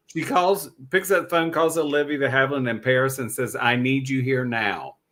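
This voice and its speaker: A man with a Southern US accent, medium in pitch, bright and sharp in tone, at a moderate pace. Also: ordinary pitch variation. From US South. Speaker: podcast co-host. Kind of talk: casual chat. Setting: live stream.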